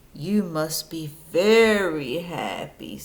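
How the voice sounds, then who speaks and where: Doing a put-on character voice, a woman pitches it fairly low. Her intonation is lively. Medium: read story. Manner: warm, encouraging.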